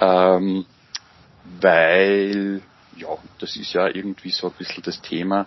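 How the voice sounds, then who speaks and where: Very deep, low-pitched man's voice. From Austria, Mühlviertel (Upper Austria). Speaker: psychology lecturer and father. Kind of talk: interview. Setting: video call. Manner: halting, many fillers.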